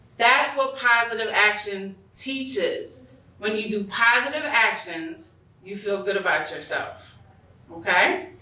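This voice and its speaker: A woman with an American accent speaks at a fairly slow pace in a fairly high pitch, her intonation lively. Her tone is animated, and audible room echo surrounds her. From New York. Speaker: school social-emotional learning coordinator. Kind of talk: conference presentation. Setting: stage with audience. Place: hall. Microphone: camera far.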